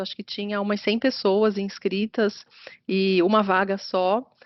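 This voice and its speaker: A woman is speaking. She has a slight carioca accent. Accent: slight carioca tinge, rolled R and hissing S. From Atibaia, São Paulo state, Brazil. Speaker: business consultant. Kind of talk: interview conversation.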